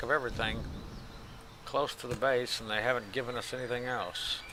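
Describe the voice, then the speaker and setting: With noticeable background noise, a man mumbles at a fairly quick pace in a relaxed tone. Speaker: gaming video creator. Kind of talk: let's play commentary. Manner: mumbling; casual, relaxed.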